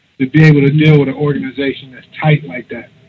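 In a Baltimore accent, a man speaks with a fairly high pitch. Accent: Baltimore urban American. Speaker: co-host interviewer.

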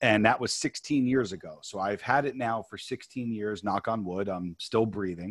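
In a very clean recording with a silent background, a man with an American accent uses a plain, everyday voice at a moderate pace with ordinary pitch variation. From New York. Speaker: author and producer. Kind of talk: interview.

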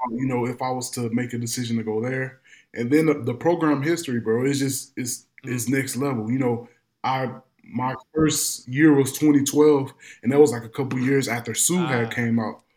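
A man with an American accent has a plain, everyday voice, with medium pitch, fairly even intonation and a moderate pace. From Madison, Illinois, near St. Louis. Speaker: former pro football player. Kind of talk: interview.

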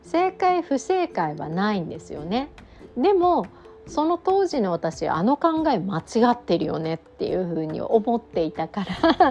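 Noticeable background noise sits behind a woman with a fairly high pitch. She talks fairly slowly, with very wide pitch swings. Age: 40s. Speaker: mindfulness and yoga teacher. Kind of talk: solo talk podcast. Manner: gentle, relaxed.

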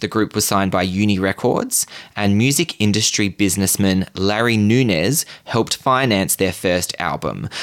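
A man with an Australian accent speaks at a fairly low pitch, his loudness very even and his delivery with hardly any pauses. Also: ordinary pitch variation, moderate pace. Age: 30s. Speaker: podcast host. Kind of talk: storytelling. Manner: animated.

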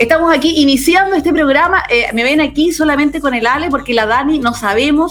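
An animated woman's voice at a fairly quick pace, over noticeable background noise. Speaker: radio host. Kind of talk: casual chat.

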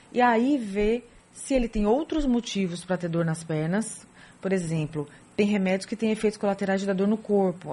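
The voice moves at a moderate pace with ordinary pitch variation. Its tone is dark and mellow, and somewhat breathy. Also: woman. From São Paulo, Brazil. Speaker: rheumatologist. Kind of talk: radio interview. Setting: radio studio.

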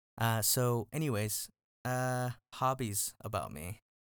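On a very clean recording with a silent background, a man of medium pitch talks at a fairly slow pace with fairly even intonation. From Texas, Dallas area. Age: 20s. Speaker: youth pastor. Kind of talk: casual podcast monologue with devotional teaching.

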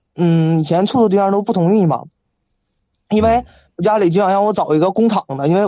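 A man speaks at a fairly quick pace in a high voice, his pitch rising and falling in an ordinary way. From Shenyang, northeast China. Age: 20s. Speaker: caller seeking relationship advice. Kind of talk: call-in conversation.

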